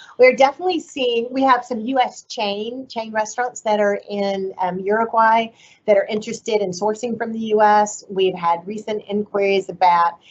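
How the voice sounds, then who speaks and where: An ordinary speaking voice carries on at a moderate pace with ordinary pitch variation. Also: woman, fairly high pitch for a woman. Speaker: agricultural trade official. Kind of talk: webinar presentation.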